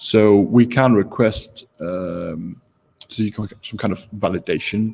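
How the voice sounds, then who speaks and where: A man talks in a fairly low voice at a fairly slow pace. His intonation is fairly even, though his loudness swings widely. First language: not English. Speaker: game jam organizer. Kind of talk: livestream talk. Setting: live broadcast from home. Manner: hesitant, many fillers. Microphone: echo.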